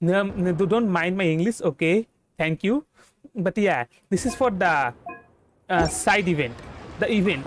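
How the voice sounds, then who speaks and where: This voice has a Bengali accent and a moderate pace. Long pauses come often. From India, West Bengal. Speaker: vtuber game streamer. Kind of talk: casual game stream commentary. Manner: halting, many fillers and false starts.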